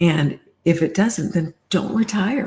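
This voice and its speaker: A woman with a medium pitch and a dark, mellow, somewhat breathy tone speaks at a fairly slow pace with ordinary pitch variation. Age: 70s. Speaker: coaching client. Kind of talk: coaching conversation.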